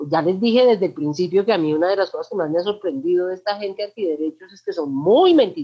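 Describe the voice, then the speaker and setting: Barely pausing, a woman rushes along at a very fast pace at medium pitch, her loudness swinging widely. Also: lively intonation. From Colombia, Manizales. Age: 40s. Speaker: LGBTI activist. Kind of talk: interview. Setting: video call.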